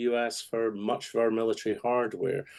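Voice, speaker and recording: A man with a Scottish accent talks at a moderate pace and medium pitch, his tone dark and mellow. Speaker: political strategist. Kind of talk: radio interview.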